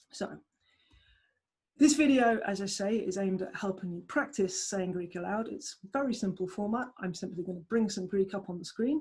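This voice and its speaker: With a southeast English accent, a woman speaks at a moderate pace in a somewhat breathy, medium-pitched voice. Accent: southeast England English; aspirates p. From southeast England. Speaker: language tutor. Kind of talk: tutorial.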